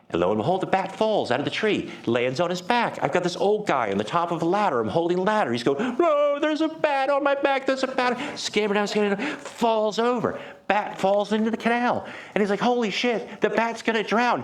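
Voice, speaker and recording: The speech comes at a fairly quick pace, with lively intonation, an animated tone and very even loudness. Audible room echo and noticeable background noise are present. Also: man, high pitch for a man. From United States. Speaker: startup program director. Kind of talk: conference talk. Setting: meetup with live audience. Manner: animated storytelling.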